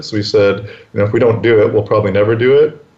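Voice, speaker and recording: Amid noticeable background noise, a man with a Canadian accent speaks with fairly even intonation. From Canada, Winnipeg. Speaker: real estate entrepreneur. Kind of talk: interview.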